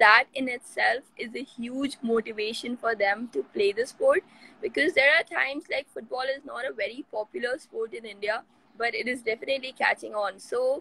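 A woman's raised, projected voice with lively intonation at a moderate pace, in a dry sound with no echo. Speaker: football coach, remote interview guest. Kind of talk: interview answer. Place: home room. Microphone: video call.

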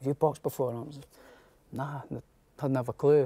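With a Scottish accent, a man speaks very fast in a dark, mellow tone, his intonation flat and monotone. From Scotland, near Edinburgh; Scotland. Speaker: professional boxer. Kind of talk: interview. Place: studio.

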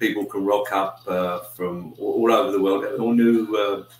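Amid light background noise and audible room echo, a man speaks at a fairly low pitch and a fairly slow pace. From UK. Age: 60s. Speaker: YouTuber. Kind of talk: casual livestream chat. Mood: friendly, relaxed. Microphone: webcam.

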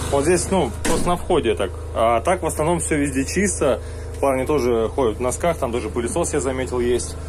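A man's voice moves through very wide pitch swings. Noticeable background noise is present. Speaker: worker vlogger. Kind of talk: casual vlog chat. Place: home room. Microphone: phone near.

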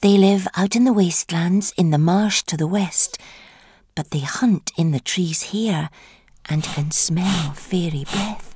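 A woman speaks in a put-on character voice. Her pitch is fairly low and her pace fairly slow. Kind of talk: dark children's story acting. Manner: falsely sweet, scheming, coaxing.

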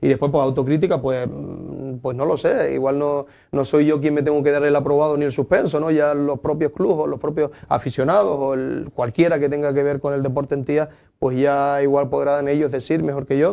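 Speaking in a Canarian accent, a man uses a fairly high pitch, a dark, mellow tone, fairly even intonation and a fairly quick pace. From Lanzarote, Canary Islands (Tías); Canary Islands. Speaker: local sports councillor. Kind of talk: interview. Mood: calm, reflective. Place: studio.

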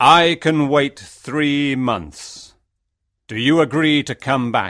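A man uses a put-on character voice, fairly high in pitch and at a very slow pace. The recording is very clean with a silent background. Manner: angry, stern.

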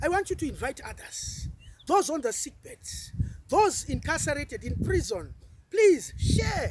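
The sound is dry with no echo as a man talks at a fairly slow pace over noticeable background noise. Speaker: preacher. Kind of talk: fervent intercessory prayer, rebuking the spirit of fear with repeated petitions. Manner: urgent, insistent repetition of phrases like I come against; stammering, building intensity, mixing in Swahili words. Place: open country.

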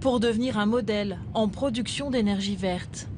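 Against noticeable background noise, a woman speaks fairly slowly in a fairly high pitch with fairly even intonation. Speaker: news presenter and reporter voice-over. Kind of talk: documentary news report narration. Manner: formal, measured, steady reporting tone.

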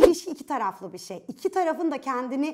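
With a quiet background, a woman speaks in an animated tone at a moderate pace, her pitch swinging very widely. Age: 30s. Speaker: lifestyle video host. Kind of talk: video monologue on relationships. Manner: animated, conversational. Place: studio. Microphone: lapel.

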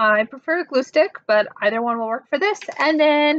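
The sound is dry with no echo. The pitch swings very widely. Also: woman. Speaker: presenter. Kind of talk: tutorial. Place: home room. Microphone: webcam.

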